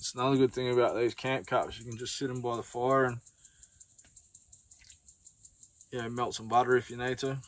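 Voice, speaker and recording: Male speech at a fairly quick pace. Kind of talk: cooking tutorial. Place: open country. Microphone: camera far.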